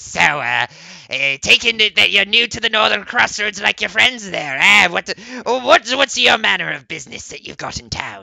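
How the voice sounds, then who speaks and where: In a put-on character voice, a man speaks at a moderate pace with a high pitch. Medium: actual play. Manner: friendly, chatty.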